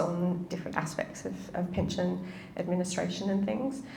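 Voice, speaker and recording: Someone speaks with a New Zealand accent amid noticeable background noise and audible room echo. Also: woman. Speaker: pensions researcher. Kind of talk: interview in front of a live audience.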